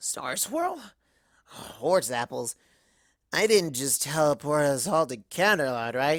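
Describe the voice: In a put-on character voice with a fairly bright tone, the speaker moves slowly through big pitch swings on a very clean recording with a silent background.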